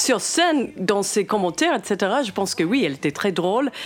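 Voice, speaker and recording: The speech moves at a fairly slow pace with lively intonation over noticeable background noise. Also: woman. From United States. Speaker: jazz singer. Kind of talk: interview excerpt.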